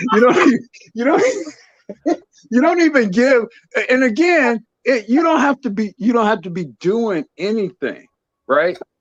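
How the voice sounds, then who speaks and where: At a moderate pace broken by long, frequent pauses, a man talks in an extremely high pitch with very wide swings. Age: 60s. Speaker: caller. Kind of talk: casual chat. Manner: halting.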